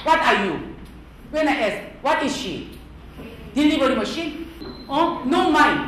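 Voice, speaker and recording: A woman talks loudly and in an animated tone at a high pitch with ordinary pitch variation, with audible room echo and noticeable background noise. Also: fairly slow pace. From South Korea. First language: Korean. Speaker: language and culture teacher. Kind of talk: lecture.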